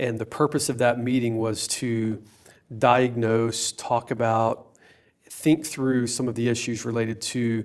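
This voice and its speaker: Moderate in pace, a man speaks with an unremarkable speaking voice. His medium pitch follows fairly even intonation. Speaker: podcast host. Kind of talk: interview.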